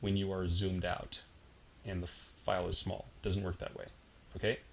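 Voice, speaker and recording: Somewhat breathy, a man talks at a fairly low pitch and a fairly quick pace. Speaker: software tutorial instructor. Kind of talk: tutorial. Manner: casual, filler-heavy.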